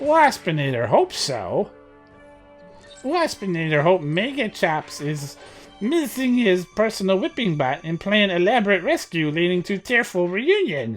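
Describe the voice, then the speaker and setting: A man performs a put-on character voice, pitched high, at a moderate pace. Faint music plays in the background. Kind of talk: third-person robot speech. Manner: dramatic, whiny.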